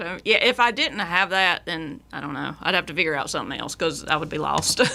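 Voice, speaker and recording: The voice has a strong Southern accent and a bright, sharp tone. It moves at a fairly quick pace with lively intonation and big swings in loudness. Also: woman, fairly low pitch for a woman. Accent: strong Southern twang. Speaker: singer-songwriter. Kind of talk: casual interview chat. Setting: radio studio.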